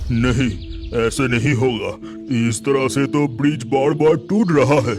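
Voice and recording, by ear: A man's cartoonish character voice at medium pitch and moderate pace, with clear music in the background.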